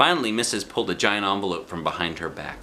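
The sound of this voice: A man's low-pitched voice, fast-paced, with a bright, sharp tone and lively intonation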